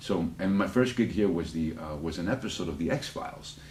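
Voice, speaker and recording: A man with a slight Spanish accent talks at a very fast pace. Noticeable background noise and audible room echo surround him. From United States. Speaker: actor. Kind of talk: interview. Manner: halting, many repetitions; animated.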